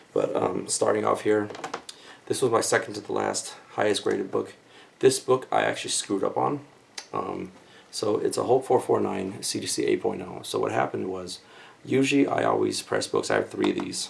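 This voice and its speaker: A man's quiet voice at a fairly quick pace. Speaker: comic book collector YouTuber. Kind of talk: casual unboxing video. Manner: speaking quietly.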